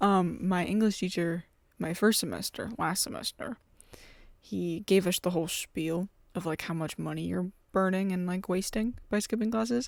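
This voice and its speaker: Speaking at a moderate pace, a woman uses a medium pitch with ordinary variation. The recording is very clean, with a silent background. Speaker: podcast host, college student. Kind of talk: casual vlog-style chat. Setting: college dorm room at night.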